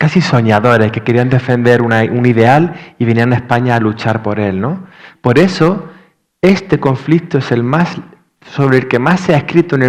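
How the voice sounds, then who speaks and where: Lively intonation marks a man's medium-pitched voice at a moderate pace. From Andalusia, Spain. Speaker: novelist. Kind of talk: literary panel discussion. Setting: library event with audience and simultaneous interpretation. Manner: hesitant, many fillers.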